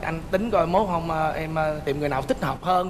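A man races through his speech very fast, with light background noise behind him. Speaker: talk show guest. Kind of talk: interview answer, storytelling. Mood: lively, humorous storytelling. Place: studio.

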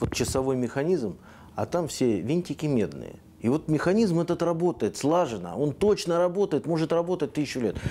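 The tone is dark and mellow, with lively intonation and very even loudness at a moderate pace. Light background noise sits underneath. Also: man, fairly high pitch for a man. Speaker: TV host. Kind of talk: interview. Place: home room. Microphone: lapel.

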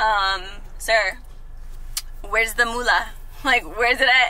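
The woman's fairly slow speech comes through dry, with no echo. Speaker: vlogger. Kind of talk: casual vlog chat. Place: car. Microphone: phone near.

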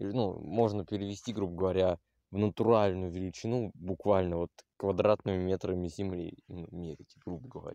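Over a quiet background, a man with a very deep, low pitch and a dark, mellow tone speaks at a moderate pace with fairly even intonation, the sound dry with no echo. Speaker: video blogger; vlogger showing his plot. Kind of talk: casual vlog walkthrough. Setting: outdoors. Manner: halting, many fillers. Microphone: phone near.

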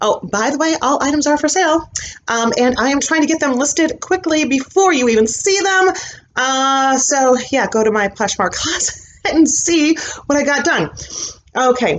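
A woman talks at a moderate pace in a high voice. Light background noise is present. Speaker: thrift reseller. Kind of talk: casual vlog chat. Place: home room. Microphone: webcam.

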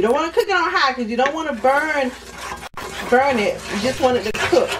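Noticeable background noise runs under the speech. The pace is moderate. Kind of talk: cooking tutorial. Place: kitchen. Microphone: camera far.

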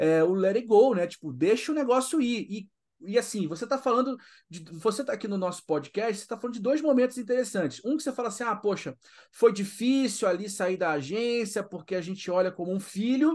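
Over a quiet background, a man with a high voice talks at a fairly quick pace with lively intonation. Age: 40s. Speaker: podcast host. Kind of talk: casual interview chat.

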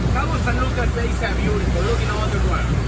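Crowd noise fills the background while someone speaks at a moderate pace. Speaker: boat captain guide. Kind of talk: tour guide commentary. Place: boat. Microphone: camera far.

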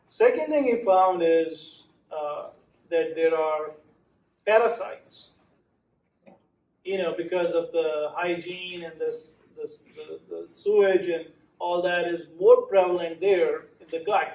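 With big swings in loudness, a man speaks very slowly, leaving long, frequent pauses in audible room echo. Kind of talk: lecture. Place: meeting room. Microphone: camera far.

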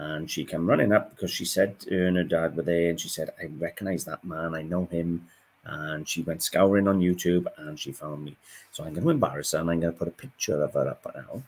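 Speaking at a fairly quick pace, a man uses a very deep, low pitch with ordinary pitch variation. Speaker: antiques reseller vlogger. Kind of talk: casual vlog chat. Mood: warm, cheerful. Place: home room. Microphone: webcam.

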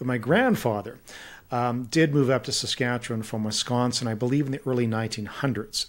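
This man has a western Canadian accent. He talks at a moderate pace with fairly even intonation. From Kelowna, British Columbia, Canada; British Columbia. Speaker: policy think tank president and author; podcast guest. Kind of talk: interview conversation. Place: home room. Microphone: studio mic.

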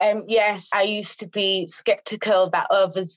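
Someone with a Birmingham accent speaks at a fairly slow pace against a quiet background. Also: woman. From Birmingham, England. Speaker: domestic abuse practitioner. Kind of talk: testimony. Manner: halting. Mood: earnest, emotional confession. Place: home room. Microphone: video call.

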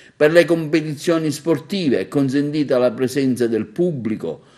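This man has a fairly high pitch and ordinary pitch variation. It is an unremarkable speaking voice. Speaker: TV news presenter. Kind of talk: formal news reading. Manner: formal, even-paced newsreader delivery; neutral, impersonal, dense with official decree wording.

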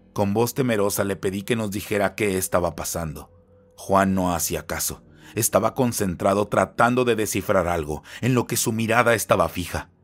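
A man with a plain, everyday voice talks at a moderate pace and a fairly low pitch. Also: ordinary pitch variation. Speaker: storyteller narrating horror legends. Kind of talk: ghost story narration, first-person horror tale. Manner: hushed, tense, building dread with pauses.

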